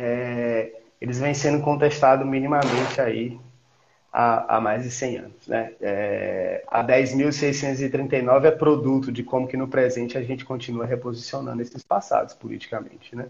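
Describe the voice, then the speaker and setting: A man speaks at medium pitch in a monotone, flat delivery. His voice is somewhat breathy. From Piauí, Brazil (Campo Maior). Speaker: historian, researcher. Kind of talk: interview on a live stream. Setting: video call. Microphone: echo, audio feedback through his mic.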